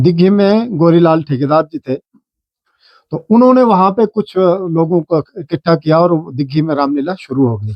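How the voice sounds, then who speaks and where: A man speaks with a high pitch and lively intonation. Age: 60s. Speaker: Ramlila club member. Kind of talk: interview.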